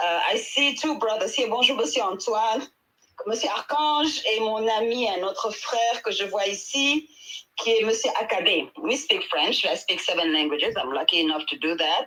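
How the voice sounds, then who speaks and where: At a moderate pace, a woman with a Senegalese accent speaks with very wide pitch swings. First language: Wolof. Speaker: midwife and traditional healer. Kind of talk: panel discussion. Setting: online audio room.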